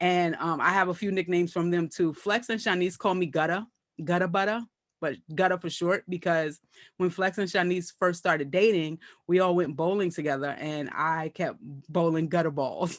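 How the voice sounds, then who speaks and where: Against a quiet background, a woman with an American accent speaks at a moderate pace and a fairly low pitch, with fairly even intonation. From Brooklyn, New York. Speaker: comedian and actress. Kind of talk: casual interview chat.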